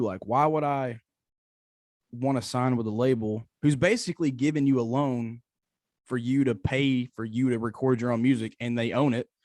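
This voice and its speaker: Moderate pace and medium pitch from a man, on a very clean recording with a silent background and a dry, close sound with no echo. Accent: Tennessee. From East Tennessee. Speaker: country singer-songwriter. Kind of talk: interview. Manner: halting, many repetitions.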